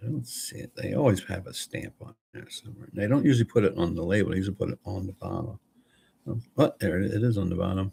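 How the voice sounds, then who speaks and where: Fairly quick and somewhat breathy, a man speaks at fairly low pitch with ordinary pitch variation. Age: 60s. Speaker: retired vlogger. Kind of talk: casual chat. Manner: rambling, halting.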